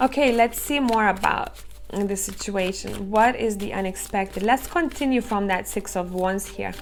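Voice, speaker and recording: A woman with a non-native accent speaks at a moderate pace with hardly any pauses, noticeable background noise behind her. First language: Lithuanian. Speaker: tarot reader. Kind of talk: tarot reading to camera. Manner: casual, filler-heavy.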